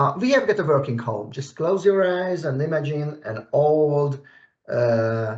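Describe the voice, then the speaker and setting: A somewhat breathy voice with lively intonation at a fairly slow pace. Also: man, fairly high pitch for a man. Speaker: technical expert. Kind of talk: software tutorial. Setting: video call. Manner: halting, many fillers. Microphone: weak internet connection.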